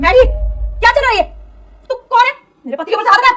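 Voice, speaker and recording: A woman shouting in a put-on character voice, extremely high in pitch and at a very fast pace. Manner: angry, shouting.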